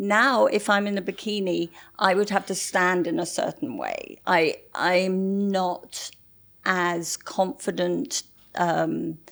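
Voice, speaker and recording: On a very clean recording with a silent background, a woman speaks at a very slow pace with an English accent and ordinary pitch variation. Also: medium pitch for a woman. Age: 60s. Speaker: model. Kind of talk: interview conversation.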